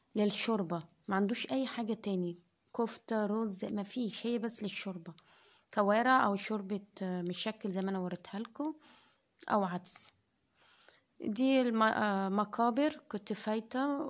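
In a fairly high voice with ordinary pitch variation, a woman speaks with an Egyptian accent at a fairly slow pace. The recording is very clean, with a silent background. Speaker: food vlogger. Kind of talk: casual vlog narration.

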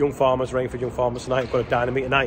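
Noticeable background noise behind a man's voice. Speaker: contractor. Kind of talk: casual vlog chat. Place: farm machine. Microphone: phone near.

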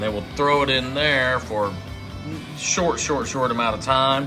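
Clear music plays behind the speech. The man's pitch varies in an ordinary way. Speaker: home cook vlogger. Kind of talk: casual cooking vlog chat. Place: home room. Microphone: phone near.

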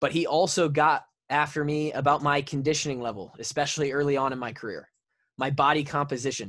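Over a quiet background, a man talks at a very fast pace with fairly even intonation. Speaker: podcast co-host, former college football player; podcast co-host. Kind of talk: casual chat. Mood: reflective, serious. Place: home room. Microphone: studio mic.

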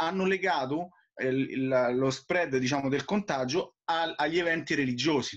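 The speech has ordinary pitch variation against a quiet background. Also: man. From Rome, Italy; Italy. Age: 30s. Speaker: missionary priest. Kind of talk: interview. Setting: call from abroad. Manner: halting, many repetitions. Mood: calm, explanatory. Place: home room. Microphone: video call.

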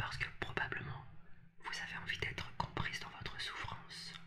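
Someone is whispering. The pace is fairly slow. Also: woman. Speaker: relationship coach. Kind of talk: advice talk to camera. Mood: empathetic, earnest.

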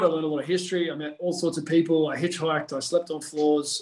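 In a quiet background with audible room echo, a man talks very fast in a flat monotone. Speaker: podcast guest, strength coach. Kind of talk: interview answer. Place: home room. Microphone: video call.

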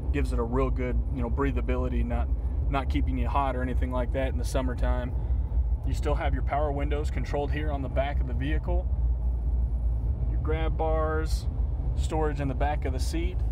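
A man at a fairly quick pace, with noticeable background noise and a dry sound with no echo. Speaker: car salesperson. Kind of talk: product walkthrough commentary. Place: car.

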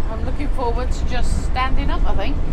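Loud background noise fills the clip. A woman is speaking. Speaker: travel vlogger. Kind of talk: casual vlog chat. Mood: cheerful, relaxed. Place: car. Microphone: phone near.

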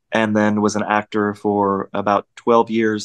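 A man with an American accent talks at fairly low pitch over a quiet background. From Oklahoma. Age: 50s. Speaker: actor. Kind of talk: casual interview. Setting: video call. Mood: warm, emotional, personal. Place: home room. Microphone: video call.

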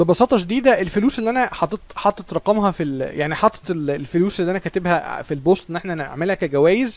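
A man's fairly quick speech with lively intonation, dry with no echo. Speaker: chess streamer. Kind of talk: live stream commentary. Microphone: studio mic.

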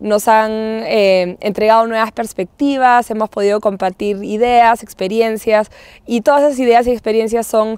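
A woman's fairly high voice with fairly even intonation at a moderate pace, dry with no echo over a quiet background. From Peru. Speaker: nonprofit director, marine conservationist. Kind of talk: interview testimonial. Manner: hesitant, many fillers and repetitions. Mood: warm, positive. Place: open country.

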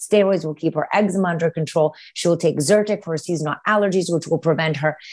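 A woman at a fairly quick pace with ordinary pitch variation, over a quiet background. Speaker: guest. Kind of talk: interview answer. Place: home room. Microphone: earbuds.

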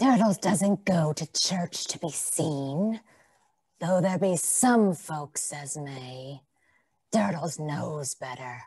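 In a gruff, put-on character voice, the speaker goes at a very slow pace with lively intonation and big swings in loudness. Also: woman, very deep, low pitch for a woman. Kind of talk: 1900s stage melodrama. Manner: gruff, speaks of himself in third person.

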